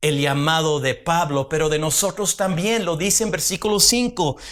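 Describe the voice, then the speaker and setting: A man's voice with lively intonation. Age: 60s. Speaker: pastor. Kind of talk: sermon.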